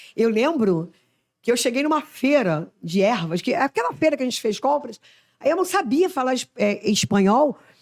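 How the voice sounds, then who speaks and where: An animated, high-pitched woman's voice in a strong Rio de Janeiro accent, with very wide pitch swings at a moderate pace. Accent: strong Rio de Janeiro (carioca). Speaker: missionary. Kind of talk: casual chat.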